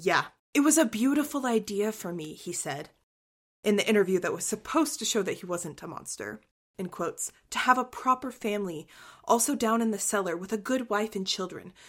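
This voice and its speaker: This is a woman with a plain, everyday voice, pitched fairly high. She talks at a fairly quick pace with lively intonation on a very clean recording with a silent background. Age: 20s. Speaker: true crime podcast host. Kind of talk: casual chat.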